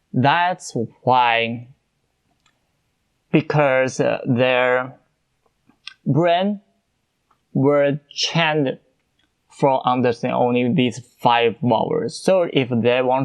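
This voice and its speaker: A man with a Chinese accent, a very slow pace, long, frequent pauses and ordinary pitch variation. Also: medium pitch for a man. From China. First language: Mandarin Chinese. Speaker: podcast host. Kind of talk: casual podcast monologue. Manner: halting, many fillers.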